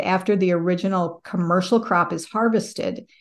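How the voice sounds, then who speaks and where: A woman with an American accent has an ordinary speaking voice at medium pitch, ordinary pitch variation and a moderate pace, with a quiet background. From US Midwest, northwest Iowa. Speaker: sustainability manager. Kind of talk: interview.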